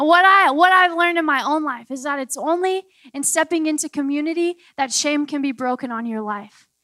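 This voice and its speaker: A woman's high-pitched, raised and projected voice, animated in tone with ordinary pitch variation, at a fairly quick pace in a dry, close sound with no echo. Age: 20s. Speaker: preacher. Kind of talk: sermon.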